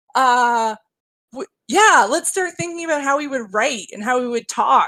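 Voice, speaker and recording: Projecting her high voice, a woman speaks fairly slowly in an animated, bright, sharp tone with very wide pitch swings. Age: young. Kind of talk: casual chat.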